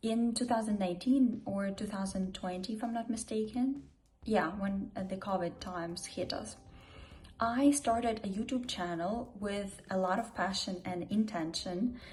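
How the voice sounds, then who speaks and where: A woman talks at a moderate pace, and there is audible room echo around her voice. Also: medium pitch for a woman, ordinary pitch variation. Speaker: YouTuber and public speaker. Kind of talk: casual vlog monologue. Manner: quiet, not loud.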